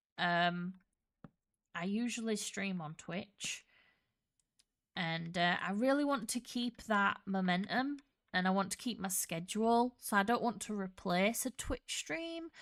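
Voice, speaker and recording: A woman speaks with a Yorkshire accent at a medium pitch and a fairly slow pace. The recording is very clean, with a silent background. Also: lively intonation. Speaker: gaming streamer. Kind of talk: casual live-stream chat. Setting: home, live stream.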